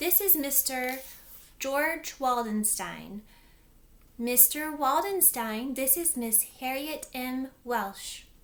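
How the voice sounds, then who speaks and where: A woman puts on a strained, high-pitched character voice. She speaks at a very slow pace. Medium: read story. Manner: strained, falsely bright.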